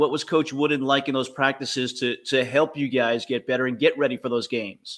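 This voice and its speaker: A man speaks with a bright, sharp tone at a fairly high pitch. The recording is very clean, with a silent background. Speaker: podcast host.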